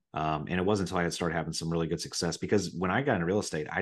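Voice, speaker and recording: Against a quiet background, a man with a Midwestern American accent talks very fast in a very deep, low pitch. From Ohio, Riverside near Dayton. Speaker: real estate investor. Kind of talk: casual chat. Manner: animated.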